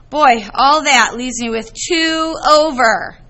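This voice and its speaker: With audible room echo, a woman speaks at a very slow pace and with ordinary pitch variation. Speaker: math teacher. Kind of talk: classroom lecture.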